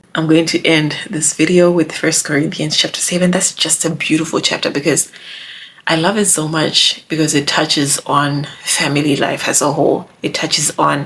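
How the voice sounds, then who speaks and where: A woman with a very deep, low pitch speaks in an animated tone, using ordinary pitch variation. Noticeable background noise runs under her voice. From Zimbabwe. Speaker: YouTuber giving relationship advice. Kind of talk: casual vlog monologue.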